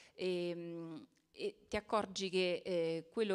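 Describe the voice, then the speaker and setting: A woman is speaking. Her pitch is fairly low. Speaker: municipal culture councillor. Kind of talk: speech at book presentation. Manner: halting, hesitant. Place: hall. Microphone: handheld.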